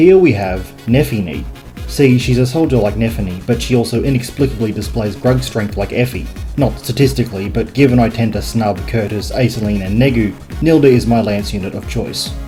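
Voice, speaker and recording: A man with an Australian accent, fairly low in pitch, at a fairly quick pace with very wide pitch swings over music in the background. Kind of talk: video game commentary narration. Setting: small box room.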